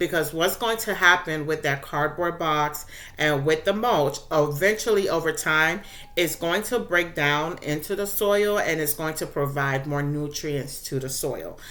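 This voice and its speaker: In a room with audible echo, a woman speaks at a fairly slow pace, her very deep, low pitch carrying a bright, sharp tone and ordinary pitch variation. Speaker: gardening YouTuber. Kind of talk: casual tutorial. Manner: occasionally fumbling words.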